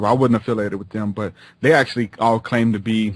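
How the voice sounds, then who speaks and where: A man speaks with a Southern US accent. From Louisiana, near New Orleans (Houma). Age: 20s. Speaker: rapper and minister. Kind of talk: interview conversation. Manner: stutters; casual, filler-heavy.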